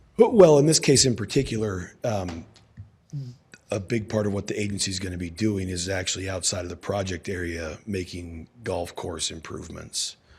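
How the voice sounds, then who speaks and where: Somewhat breathy man's voice, very deep and low, at a moderate pace. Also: ordinary pitch variation. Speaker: outside redevelopment attorney. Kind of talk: city council meeting testimony. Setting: council chambers. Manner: hesitant, many fillers.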